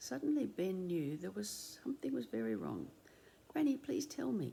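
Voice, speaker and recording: A woman with an Australian accent. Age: 70s. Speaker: retired doctor reading a children's book. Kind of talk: reading aloud; casual introduction.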